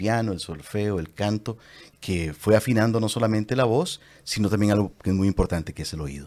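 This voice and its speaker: At a moderate pace, a man talks in an unremarkable speaking voice with fairly low pitch, on a very clean recording with a silent background. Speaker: voice actor and commercial announcer. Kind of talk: interview answer.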